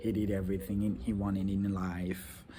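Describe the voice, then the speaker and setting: The room echo is audible. A man speaks with a fairly low pitch. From Rwanda. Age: 30s. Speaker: vlogger, law student. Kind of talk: casual vlog monologue. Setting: outdoors. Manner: halting, many fillers.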